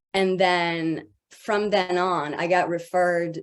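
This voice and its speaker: A woman speaks with a French accent at a fairly low pitch. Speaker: voice actor and voice director. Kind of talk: panel discussion. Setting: video call.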